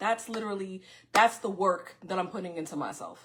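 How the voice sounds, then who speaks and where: The speaker has a New York accent. The intonation stays fairly even. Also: woman. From New York City (Far Rockaway, Queens). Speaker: podcast host. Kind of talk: casual monologue to viewers. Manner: fast; loud.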